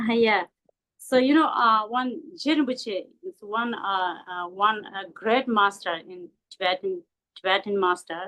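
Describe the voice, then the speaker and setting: A woman with a non-native accent, fairly high pitch and lively intonation, at a fairly slow pace. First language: not English. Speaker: Buddhist teacher. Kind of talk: dharma talk. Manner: halting, many fillers.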